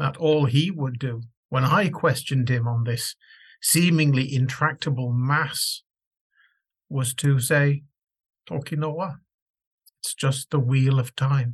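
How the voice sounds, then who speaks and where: Somewhat breathy and medium in pitch, a man speaks at a very slow pace with fairly even intonation and long, frequent pauses. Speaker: scholar. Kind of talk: recorded tribute reading. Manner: heartfelt.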